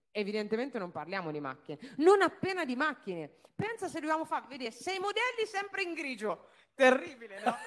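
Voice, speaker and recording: Her high voice swinging very widely in pitch, a woman talks at a fairly quick pace in an animated tone. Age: 30s. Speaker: car dealership owner; speaker. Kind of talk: business talk to an audience. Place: stage. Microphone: handheld.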